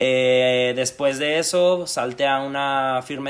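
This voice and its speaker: A fairly high-pitched man's voice with fairly even intonation. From Mexico, Aguascalientes. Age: 20s. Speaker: fashion stylist. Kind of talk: interview. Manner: halting.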